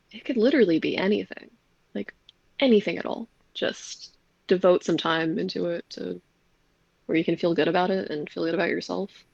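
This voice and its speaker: The speaker uses vocal fry and leaves long, frequent pauses. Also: woman, fairly low pitch for a woman, fairly quick pace, dry, close sound with no echo. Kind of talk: casual chat. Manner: monotone.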